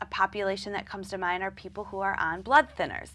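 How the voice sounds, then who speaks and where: A woman with a Midwestern accent, medium-pitched, her tone bright and sharp, on a very clean recording with a silent background. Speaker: dietitian. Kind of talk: interview.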